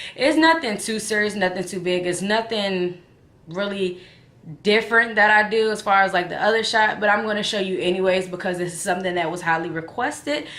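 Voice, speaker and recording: Amid noticeable background noise and audible room echo, a woman talks at a fairly quick pace and medium pitch with ordinary pitch variation. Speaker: vlogger. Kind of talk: casual vlog chat.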